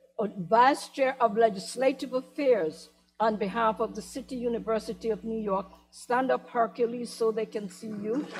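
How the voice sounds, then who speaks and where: A woman speaks at a moderate pace and a fairly high pitch, with ordinary pitch variation. Music plays in the background. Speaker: university trustee and town hall moderator. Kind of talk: town hall moderation and introduction. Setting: auditorium with audience. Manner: formal.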